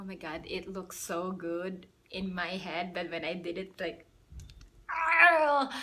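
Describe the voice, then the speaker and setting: A woman speaks at a very slow pace in a medium pitch with ordinary pitch variation, over noticeable background noise. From Philippines. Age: 20s. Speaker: YouTuber. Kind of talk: casual talk to camera. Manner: relaxed, chatty.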